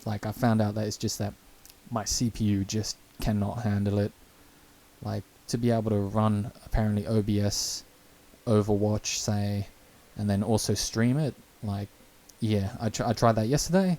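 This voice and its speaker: Moderate pace, fairly even intonation, long, frequent pauses. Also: man, fairly low pitch for a man. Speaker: gaming streamer. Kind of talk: live stream chat. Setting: live stream at home. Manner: casual, rambling with fillers.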